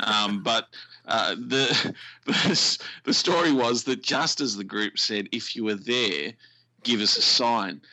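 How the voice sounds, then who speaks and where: This man's voice is fairly low in pitch, with ordinary pitch variation. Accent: Australian. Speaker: radio presenter.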